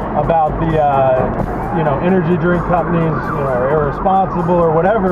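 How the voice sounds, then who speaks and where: Amid loud background noise, a man speaks at a moderate pace. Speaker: energy drink company founder and Navy veteran. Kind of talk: casual vlog talk to camera. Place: car. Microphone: camera far.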